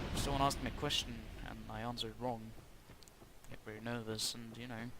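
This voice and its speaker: A man at medium pitch talks very fast in a flat monotone with a bright, sharp tone, big swings in loudness, and audible room echo. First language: Norwegian. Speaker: gaming YouTuber. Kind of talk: gameplay commentary. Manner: halting.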